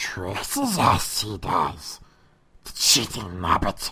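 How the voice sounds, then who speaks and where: A put-on character voice growls at a low pitch. The pace is very slow. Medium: audio drama. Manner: reversed word order, broken grammar.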